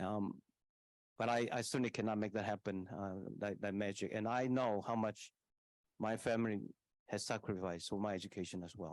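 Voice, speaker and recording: A man with a Taiwanese accent, fairly low-pitched, talking at a fairly quick pace in fairly even intonation, with long, frequent pauses. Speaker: university leader. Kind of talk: answering audience question at public forum.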